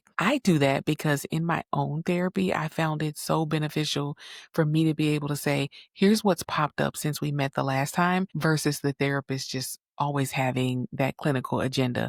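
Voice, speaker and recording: Soft-spoken and very deep and low in pitch, a woman talks at a moderate pace with ordinary pitch variation, recorded very cleanly against a silent background with a dry, close sound and no echo. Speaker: psychotherapist, podcast host. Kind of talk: solo podcast monologue. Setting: home recording late at night. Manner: conversational.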